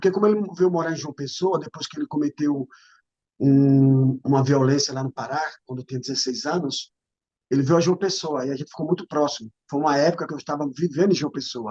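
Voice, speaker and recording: The sound is dry and close with no echo, and a man speaks at a fairly quick pace. His tone is dark and mellow, his pitch fairly high with ordinary variation. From Brazilian Northeast, Paraíba. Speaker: former footballer, relative of a murder victim. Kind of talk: interview testimony.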